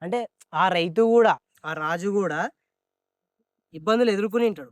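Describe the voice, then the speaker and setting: The voice has ordinary pitch variation and is heard as a dry, close sound with no echo. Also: man, high pitch for a man. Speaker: podcast host. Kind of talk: casual podcast interview questions.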